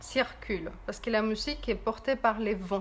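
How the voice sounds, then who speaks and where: Using a fairly high pitch and a fairly slow pace, a woman with a non-native accent speaks in a calm, gentle tone marked by vocal fry. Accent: noticeable non-native accent in French. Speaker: meditation guide and therapist. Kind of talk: guided meditation. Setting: video call and Facebook Live stream.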